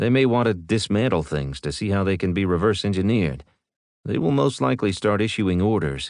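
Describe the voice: Plain reading aloud, lively in intonation, over a quiet background.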